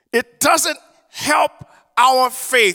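An American-accented man projects a raised voice at an extremely high pitch, bright and sharp in tone, with a dry, close sound and no echo. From US South. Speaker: preacher. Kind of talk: sermon. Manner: halting.

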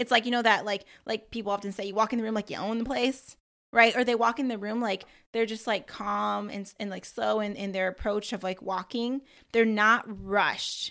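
At a fairly quick pace, a woman speaks with a bright, sharp tone and fairly high pitch, her pitch varying in an ordinary way on a very clean recording with a silent background. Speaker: podcast host and coach. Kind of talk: casual solo talk. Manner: fast talker; animated, conversational.

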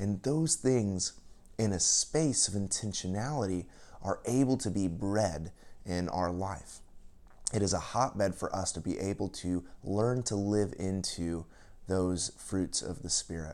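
A man speaks at a fairly slow pace in an unremarkable speaking voice, with ordinary pitch variation. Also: fairly low pitch for a man. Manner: calm, gentle, unhurried, inviting.

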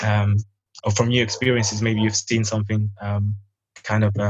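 A man's fairly low-pitched voice, monotone and flat, at a moderate pace. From Sudan. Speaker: youth organization founder. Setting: video call. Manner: halting.

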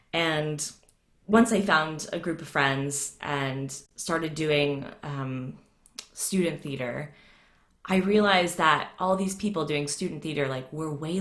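Speaking very slowly with an American accent, a woman has a fairly low pitch and ordinary pitch variation. Audible room echo is present. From US South, Atlanta. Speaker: voice coach. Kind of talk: casual interview. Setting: video call. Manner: halting.

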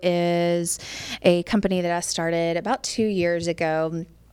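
An ordinary speaking voice with an American accent moves at a fairly slow pace. The recording is very clean, with a silent background. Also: woman. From US South, Memphis, Tennessee. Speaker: tech saleswoman and woodworking business owner. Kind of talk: casual interview.

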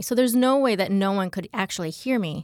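Heard in a very clean recording with a silent background, a woman has an ordinary speaking voice at medium pitch, with an American accent, ordinary pitch variation and a fairly quick pace. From US Midwest, Michigan. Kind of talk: testimony.

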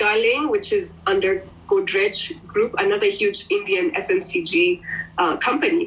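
A woman's voice at a fairly slow pace, very even in loudness, with noticeable background noise. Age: 40s. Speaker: beauty brand founder. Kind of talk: interview.

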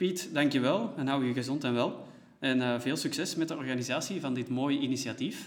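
There is audible room echo around this man's voice, which shows ordinary pitch variation. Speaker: podcast host, organisation staff. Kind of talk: scripted podcast intro and interview. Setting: meeting room used as studio in an empty office.

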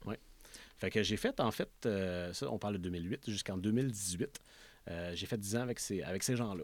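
With a Quebec accent, a man speaks at a moderate pace. His pitch varies in an ordinary way. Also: fairly low pitch for a man. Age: 30s. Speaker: motorcycle dealership owner. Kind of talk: interview.

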